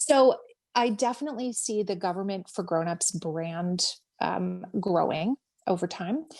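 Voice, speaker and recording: Speaking in a Minnesota accent at a medium pitch, a woman talks at a moderate pace with lively intonation against a quiet background. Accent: Minnesota accent, strong O sounds. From Minnesota, US. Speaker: government educator and social media creator. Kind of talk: interview. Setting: podcast interview. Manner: filler-heavy, conversational.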